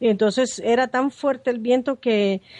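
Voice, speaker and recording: A woman uses a plain, everyday voice at a fairly high pitch and a moderate pace. Her intonation is fairly even, and the sound is dry and close with no echo. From Nicaragua, Managua. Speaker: journalist. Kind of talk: interview testimony.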